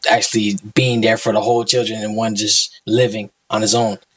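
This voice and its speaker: A man speaks at a moderate pace in a medium pitch. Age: 20s. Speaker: podcast guest, small business owner. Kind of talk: casual chat. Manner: halting.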